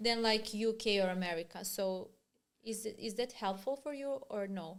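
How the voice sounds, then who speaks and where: A woman talks at a moderate pace in a fairly high pitch. Her pitch varies in an ordinary way. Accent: Serbian. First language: Serbian. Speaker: podcast host. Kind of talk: interview.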